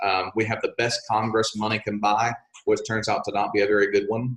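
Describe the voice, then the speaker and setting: A man with an American accent, medium pitch and a moderate pace. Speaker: congressional candidate and teacher. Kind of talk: interview. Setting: remote interview from an office. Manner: loud.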